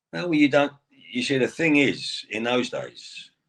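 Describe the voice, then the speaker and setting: A man speaks with an English accent. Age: 60s. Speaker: retired pro wrestler. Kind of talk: interview.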